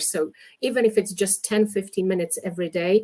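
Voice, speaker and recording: In a very clean recording with a silent background, a woman with a Polish accent talks at a moderate pace. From Poland. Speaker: English teacher, exam expert. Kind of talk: interview, giving advice. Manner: many fillers (um, uh).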